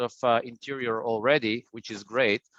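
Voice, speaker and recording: With an Israeli accent, a man speaks at a moderate pace with fairly even intonation. The sound is dry and close, with no echo, and the background is quiet. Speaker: printing industry business development presenter. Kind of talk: business webinar presentation. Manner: hesitant, many fillers and repeats.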